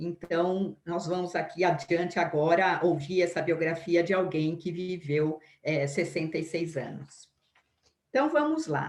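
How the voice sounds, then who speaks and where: A woman with a fairly low pitch talks at a fairly slow pace with fairly even intonation. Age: 60s. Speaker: biography lecturer. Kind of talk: lecture. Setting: live stream. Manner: halting.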